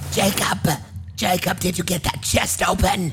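Using a put-on character voice, a man speaks at a fairly slow pace. Clear background noise is present.

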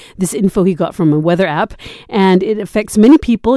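Her voice an unremarkable speaking voice, a woman talks at a medium pitch with ordinary pitch variation. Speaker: radio host. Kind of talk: radio call-in show hosting. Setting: radio studio.

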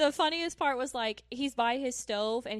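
A woman with an Oklahoma accent talks at a fairly slow pace on a very clean recording with a silent background. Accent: Oklahoman. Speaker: podcast co-host. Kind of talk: casual chat.

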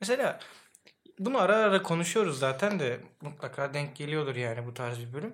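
A man's fairly high voice, fairly quick, with very wide pitch swings. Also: big swings in loudness. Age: 20s. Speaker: podcast co-host. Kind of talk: casual chat.

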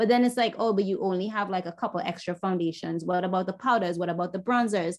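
Speaking at a very fast pace, a woman keeps to a medium pitch. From Trinidad. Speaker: makeup artist. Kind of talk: casual interview chat. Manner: enthusiastic.

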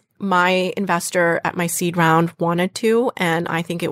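In an American accent, a woman with a fairly low pitch speaks at a moderate pace with ordinary pitch variation in an ordinary speaking voice, recorded very cleanly against a silent background with a dry, close sound and no echo. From Western Massachusetts, US. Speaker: startup founder. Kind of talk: interview.

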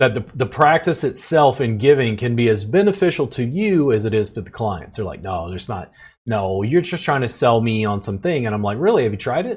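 With an American accent, a man talks at medium pitch at a fairly quick pace, with hardly any pauses. His voice is somewhat breathy and swings very widely in pitch. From US South, Louisiana. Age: 40s. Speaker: podcast host and massage therapist. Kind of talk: casual chat.

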